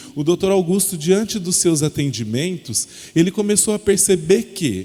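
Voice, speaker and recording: A man speaks in a high voice with lively intonation. He keeps a fairly slow pace. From interior of São Paulo state, Brazil. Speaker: educational consultant. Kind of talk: lecture. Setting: presentation to parents and children at a school.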